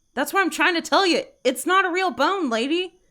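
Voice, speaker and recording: Using a put-on character voice, a woman speaks at an extremely high pitch and a fairly quick pace. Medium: game stream. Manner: blunt, casual.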